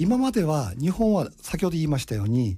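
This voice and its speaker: The man's fairly high voice moves through very wide pitch swings. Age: 60s. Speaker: radio host and import business consultant. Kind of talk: radio monologue. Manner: animated.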